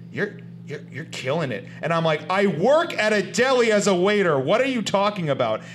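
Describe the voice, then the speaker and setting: Very wide pitch swings mark this moderately paced delivery with an American accent. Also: man, high pitch for a man. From US South, South Florida. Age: 30s. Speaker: comedian and actor. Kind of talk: casual chat.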